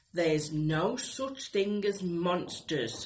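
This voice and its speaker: A put-on character voice, female-sounding, at middle pitch and a very slow pace. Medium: read story. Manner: gruff, scoffing.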